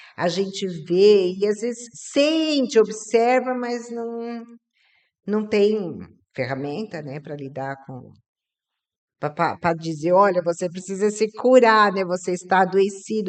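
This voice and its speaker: A woman at a medium pitch speaks at a very slow pace, with big swings in loudness. The background is quiet. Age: 60s. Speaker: podcast host, business owner. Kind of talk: podcast interview.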